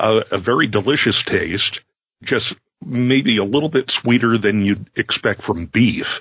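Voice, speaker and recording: A man with an unremarkable speaking voice talks at a fairly slow pace, keeping a medium pitch with ordinary pitch variation. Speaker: producer, occasional co-host. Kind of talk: casual chat.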